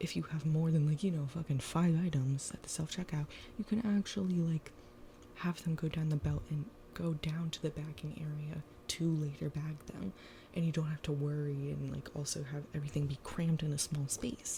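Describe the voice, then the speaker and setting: A woman speaks at a moderate pace in a very deep, low voice, her tone dark and mellow, somewhat breathy, with ordinary pitch variation. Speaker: ASMR creator. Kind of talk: casual talk to camera. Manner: conversational, ranting, casual.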